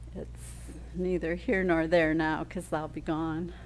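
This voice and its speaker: In a room with audible echo, a woman talks with an American accent. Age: 60s. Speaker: library worker. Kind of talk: casual video diary. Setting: inside a library, filming herself.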